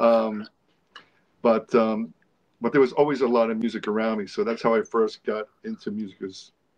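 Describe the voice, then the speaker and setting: A man speaks in a flat monotone, with long and frequent pauses. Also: medium pitch for a man, moderate pace. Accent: New York. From New York. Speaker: rock guitarist. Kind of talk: interview.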